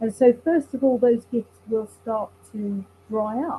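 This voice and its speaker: Somewhat breathy and fairly high-pitched, a woman speaks with lively intonation and a dark, mellow tone. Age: 60s. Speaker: relationship coach. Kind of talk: interview.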